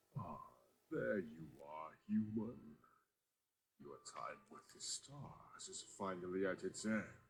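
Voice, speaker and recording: A man puts on a character voice with a fairly low pitch. He moves at a fairly slow pace with long, frequent pauses. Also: big swings in loudness. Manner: ominous, theatrical.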